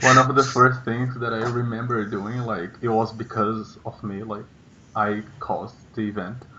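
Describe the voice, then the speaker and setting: A man with a Portuguese accent and medium pitch speaks at a moderate pace in a monotone, flat intonation, with big swings in loudness. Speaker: vlogger. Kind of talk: casual chat. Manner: halting.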